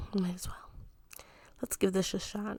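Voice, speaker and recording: The voice has a dark, mellow tone and is somewhat breathy. Its pitch moves with ordinary variation. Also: woman. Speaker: mom ASMR storyteller. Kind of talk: bedtime-style storytelling, casual and chatty. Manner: casual, humorous, asides and self-interruptions.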